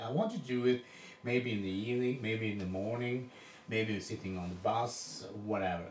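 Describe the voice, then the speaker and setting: A man with a non-native accent speaks at a moderate pace and medium pitch with ordinary pitch variation, amid noticeable background noise and audible room echo. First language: Swedish. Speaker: coach demonstrating a drill. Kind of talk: coaching demonstration. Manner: halting, with repetitions.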